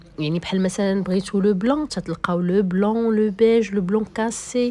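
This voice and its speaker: Speaking at a fairly quick pace, a woman with a Moroccan accent has a dark, mellow tone at a medium pitch, with ordinary pitch variation. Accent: Moroccan Darija with French code-switching. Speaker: vlogger. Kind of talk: casual shop tour vlog. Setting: inside a shop.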